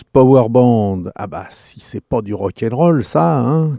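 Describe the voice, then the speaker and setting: Dark and mellow with a warm, relaxed tone, this voice moves at a very slow pace with lively intonation in a dry, close sound with no echo. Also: man. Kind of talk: radio dj patter, introducing and back-announcing blues tracks. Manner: warm, relaxed, affectionate and chatty, familiar tone with listeners.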